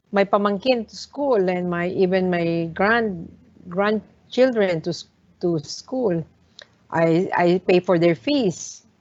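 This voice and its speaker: A woman speaks very slowly with a Filipino accent. Her pitch is medium, with ordinary variation. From Philippines, Manila area. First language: Tagalog. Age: 60s. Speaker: hotel owner. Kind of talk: talk to students. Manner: halting, many fillers.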